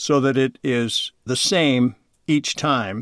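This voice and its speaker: Medium-pitched man at a very slow pace, dry and close with no echo, on a very clean recording with a silent background. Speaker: voice of city bus stop announcements. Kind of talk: interview answer.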